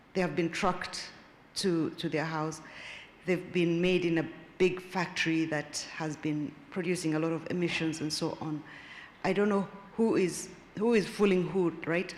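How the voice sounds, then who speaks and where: With audible room echo around her, a woman speaks at a moderate pace in a fairly even intonation, leaving long, frequent pauses. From Kenya. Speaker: audience member asking questions. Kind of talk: conference Q&A comment.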